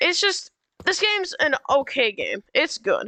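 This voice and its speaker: Projecting her raised voice, a woman speaks at a fairly slow pace with very wide pitch swings. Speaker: gaming youtuber. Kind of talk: game review commentary. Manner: halting, many fillers; loud.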